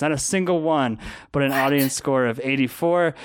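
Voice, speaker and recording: In a very clean recording with a silent background, a man with an American accent and a plain, everyday voice speaks at a moderate pace, with fairly high pitch and fairly even intonation. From Colorado. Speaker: podcast co-host. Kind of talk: casual chat.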